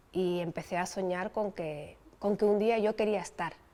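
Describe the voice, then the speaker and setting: A woman with a dark, mellow tone speaks with fairly even intonation. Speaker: Olympic sailing champion. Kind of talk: interview answer.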